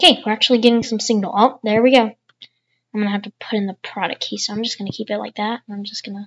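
A woman speaks at a very fast pace with a somewhat breathy, fairly high-pitched voice, fairly even intonation and big swings in loudness. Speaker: tech YouTuber. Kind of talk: screen-recorded tutorial commentary.

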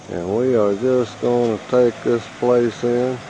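The very slow speech sounds dry with no echo, and light background noise sits behind it. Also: man. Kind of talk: casual travel narration. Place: open country. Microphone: phone near.

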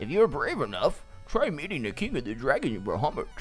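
A man puts on a character voice and races along at a very fast pace. Clear music plays in the background.

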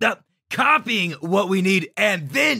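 A man speaks in a put-on character voice. His pitch is high. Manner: nervous, stammering.

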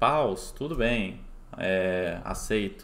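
This man's voice sits fairly low in pitch and shows ordinary pitch variation. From Brazil, southern Minas Gerais. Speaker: poker player streamer. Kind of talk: live gameplay commentary stream. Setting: live stream with chat. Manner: casual. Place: home room.

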